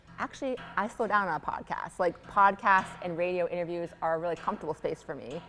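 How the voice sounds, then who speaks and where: A woman with a fairly low voice talks very fast with hardly any pauses and ordinary pitch variation. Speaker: professor of religion. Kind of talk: panel conversation. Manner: many filler ums.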